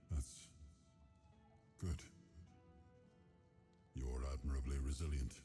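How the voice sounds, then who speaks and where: A man's put-on character voice, very deep and low in pitch, with clear music in the background. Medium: video game. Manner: measured, regal.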